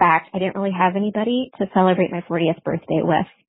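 With an American accent, a woman has a plain, everyday voice, speaking in a medium pitch with fairly even intonation. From Iowa. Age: 40s. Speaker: caller. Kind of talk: testimony. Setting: phone voicemail.

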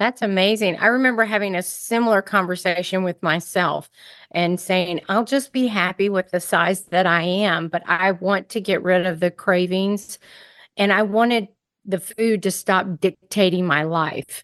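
A woman with a normal speaking voice talks at a moderate pace and medium pitch, with fairly even intonation and very even loudness, in a dry, close sound with no echo against a quiet background. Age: 50s. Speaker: podcast host and food addiction coach. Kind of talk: interview.

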